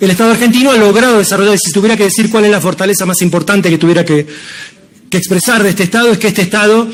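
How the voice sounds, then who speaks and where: Amid noticeable background noise and audible room echo, a man with a high pitch talks at a very fast pace with fairly even intonation. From Argentina. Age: 60s. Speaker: professor and civil servant. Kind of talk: conference talk.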